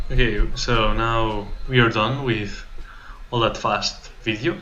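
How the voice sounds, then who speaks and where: Speaking at a very slow pace with a non-native accent, a man is heard with audible room echo. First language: not English. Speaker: exchange student vlogger. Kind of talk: casual vlog narration. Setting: outdoors riding a bike.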